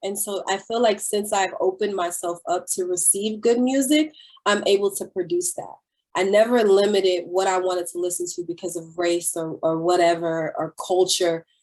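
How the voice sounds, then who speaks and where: A woman's medium-pitched voice in a Southern US accent, at a moderate pace with ordinary pitch variation. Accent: proper-sounding Southern (self-described). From US South (Middle Georgia). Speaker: singer and actress. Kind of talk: interview. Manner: casual, animated.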